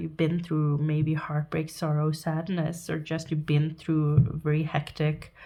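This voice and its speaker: Very deep and low for a woman, her voice has a dark, mellow tone and moves at a moderate pace. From Norway. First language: Norwegian. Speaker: tarot reader. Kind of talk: tarot reading to camera. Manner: halting.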